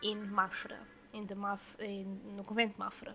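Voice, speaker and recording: A woman speaks with a Portuguese accent. Her pitch is medium. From Portugal. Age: 20s. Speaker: podcast host. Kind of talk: storytelling monologue. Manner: hesitant.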